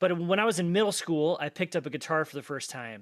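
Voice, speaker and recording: A man with an American accent and an unremarkable speaking voice, fairly high in pitch, lively in intonation, at a moderate pace, in a very clean recording with a silent background. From US, Colorado. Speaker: composer and music professor. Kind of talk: podcast interview.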